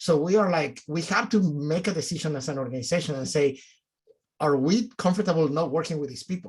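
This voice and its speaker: A man's fairly high voice in a Mexican accent, at a fairly quick pace. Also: ordinary pitch variation. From Mexico City, Mexico. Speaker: nonprofit executive director. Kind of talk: panel discussion.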